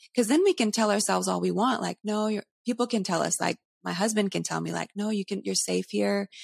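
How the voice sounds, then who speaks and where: Speaking at a fairly quick pace, a woman is heard on a very clean recording with a silent background and a dry, close sound with no echo. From Canada. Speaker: counselor and ministry-trained speaker. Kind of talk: casual interview chat. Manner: animated, laughs often.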